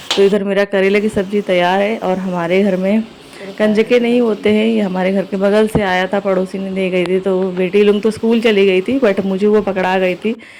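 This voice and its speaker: A woman at a medium pitch keeps a flat, monotone intonation and a moderate pace with hardly any pauses, amid noticeable background noise. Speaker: vlogger and shopkeeper. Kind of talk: vlog voiceover narration. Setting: home kitchen. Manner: casual conversational.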